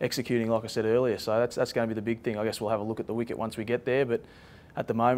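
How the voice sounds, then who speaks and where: Flat, monotone intonation runs through the man's speech. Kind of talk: interview answer.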